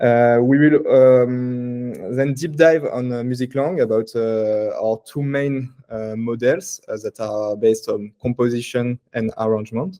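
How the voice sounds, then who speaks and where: A man with a French accent speaks in a dark, mellow tone with fairly even intonation. His pace is fairly slow, with hardly any pauses. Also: medium pitch for a man. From France, Paris. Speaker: tech startup CTO and composer. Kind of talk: conference tech talk. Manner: hesitant, many fillers.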